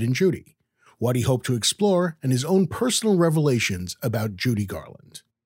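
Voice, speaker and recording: A man speaks at a very fast pace with very wide pitch swings, sounding somewhat breathy. The sound is dry and close with no echo, on a very clean recording with a silent background. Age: 50s. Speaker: podcast host. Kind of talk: interview; scripted narration.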